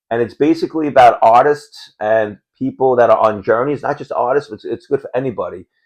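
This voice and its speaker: Against a quiet background, a man with a New York accent talks at a fairly quick pace with big swings in loudness. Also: hardly any pauses. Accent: Queens New York. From New York City (Howard Beach, Queens). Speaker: podcast co-host. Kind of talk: casual chat.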